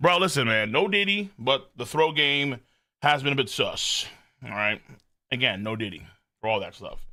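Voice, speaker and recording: A shouting man, fairly high-pitched, bright and sharp in tone and animated, with very wide pitch swings, a moderate pace and long, frequent pauses. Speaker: anime streamer. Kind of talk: live stream reaction chat. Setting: live stream. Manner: animated, yells a lot.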